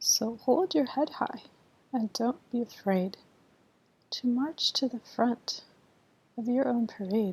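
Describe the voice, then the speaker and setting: With long, frequent pauses, a woman speaks at a very slow pace in a high voice, her tone calm and gentle and her pitch showing ordinary variation. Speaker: ASMR reader. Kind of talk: children's bedtime story reading. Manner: calm, slow, gentle.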